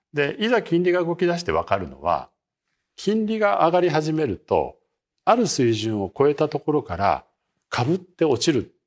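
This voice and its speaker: A man speaks at a fairly high pitch. His voice makes very wide pitch swings. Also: moderate pace, very clean recording, silent background. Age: 60s. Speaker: market strategist. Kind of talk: interview.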